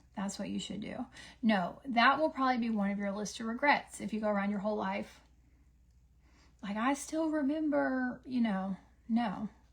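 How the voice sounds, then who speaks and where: With a Southern US accent, a woman at a fairly high pitch sounds somewhat breathy, keeping a moderate pace broken by long, frequent pauses. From US South. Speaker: beauty livestreamer. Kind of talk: casual chat. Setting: livestream with ring light. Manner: animated.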